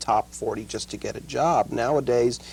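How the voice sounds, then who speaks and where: This man's voice has vocal fry. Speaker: record producer and musician. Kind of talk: interview answer.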